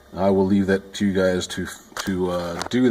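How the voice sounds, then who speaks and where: A man with a very deep, low pitch speaks over noticeable background noise. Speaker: sound technician. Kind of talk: tutorial. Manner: halting.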